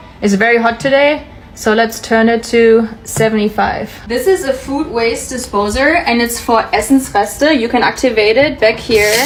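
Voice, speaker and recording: A woman with a German accent talks at a moderate pace with hardly any pauses. Her pitch is fairly high with ordinary variation, over noticeable background noise. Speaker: expat content creator. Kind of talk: house tour vlog.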